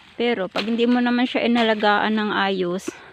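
Noticeable background noise sits behind a woman's voice. She talks at a fairly slow pace in a monotone, flat intonation. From Surigao, Mindanao, Philippines. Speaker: farm vlogger. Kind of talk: casual vlog tutorial. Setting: outdoors on a pepper farm.

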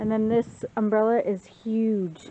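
A woman speaks in a monotone, flat intonation. Light background noise can be heard. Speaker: home vlogger. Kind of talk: casual vlog chat. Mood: cheerful, relaxed. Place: garden. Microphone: phone near.

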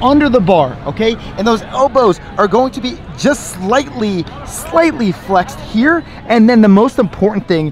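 A man's lively, up-and-down delivery at a moderate pace, the sound dry with no echo and crowd noise behind him. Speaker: fitness coach. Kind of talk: tutorial. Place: beach. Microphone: phone near.

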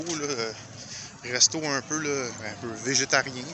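Speaking with a Quebec accent, a man uses a fairly high pitch and fairly even intonation at a fairly slow pace. The sound is dry with no echo, and there is noticeable background noise. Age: 50s. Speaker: YouTuber; vlogger. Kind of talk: walking vlog commentary; casual vlog chat. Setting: outdoors. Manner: halting. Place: street. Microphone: phone near.

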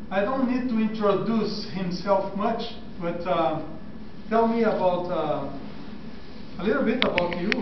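Over noticeable background noise and audible room echo, a man with a high pitch talks at a fairly slow pace, with long, frequent pauses and ordinary pitch variation. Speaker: doctor, class interviewer. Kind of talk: interview questions. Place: hall. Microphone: camera far.

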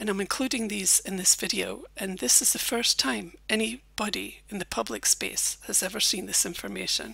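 A woman speaks with a Scottish accent at a moderate pace. She uses hardly any pauses. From Scotland. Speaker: former journalist, YouTuber. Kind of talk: personal storytelling monologue.

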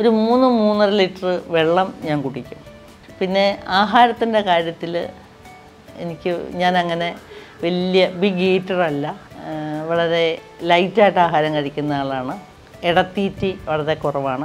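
A woman's fairly low voice with ordinary pitch variation, faint music in the background. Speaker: beauty and lifestyle vlogger. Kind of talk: casual talk to camera. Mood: warm, cheerful. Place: home room.

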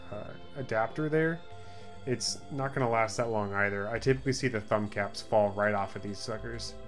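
Faint music plays in the background. A man speaks at a moderate pace with ordinary pitch variation. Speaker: streamer making a tutorial. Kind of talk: tutorial. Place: home room.

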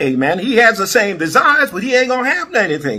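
A man's bright, sharp, animated voice at a fairly quick pace, with very wide pitch swings. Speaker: preacher. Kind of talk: sermon. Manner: animated, call-and-response preaching; exhorting, repeating praise phrases.

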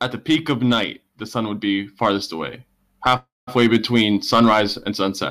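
A man with an unremarkable speaking voice talks at a moderate pace and a fairly low pitch with ordinary pitch variation, on a very clean recording with a silent background. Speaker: debate participant. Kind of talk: heated debate. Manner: insistent questioner.

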